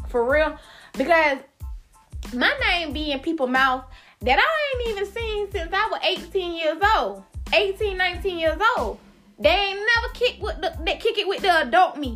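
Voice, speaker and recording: Over music in the background, a woman speaks at a moderate pace with an extremely high pitch and very wide pitch swings. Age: 20s. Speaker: podcast host. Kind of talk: casual monologue. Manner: animated, emphatic.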